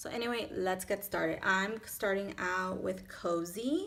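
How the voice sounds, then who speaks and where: A woman with a Miami accent at medium pitch, speaking at a very slow pace with ordinary pitch variation. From Miami, Florida. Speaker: beauty vlogger. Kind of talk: makeup tutorial; tutorial. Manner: casual, chatty with fillers. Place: home room. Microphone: phone near.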